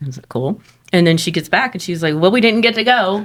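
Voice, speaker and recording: Talking at a very fast pace, a woman with a Texan accent has an animated tone. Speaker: haunted house actor. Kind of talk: casual chat.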